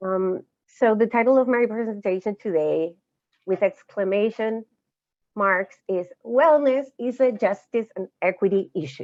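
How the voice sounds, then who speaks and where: A woman speaks with a Chilean accent at a fairly slow pace. Her pitch varies in an ordinary way. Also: medium pitch for a woman. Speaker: social justice educator. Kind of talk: lecture. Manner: halting.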